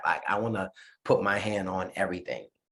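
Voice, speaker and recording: Moderate pace in a New York accent. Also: man. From New York City. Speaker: musician. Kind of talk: interview.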